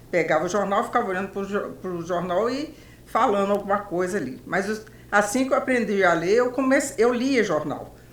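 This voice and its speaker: Through audible room echo, a woman speaks at a moderate pace and medium pitch with lively intonation. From Brazil, Belo Horizonte, Minas Gerais. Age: 70s. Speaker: journalist. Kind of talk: interview.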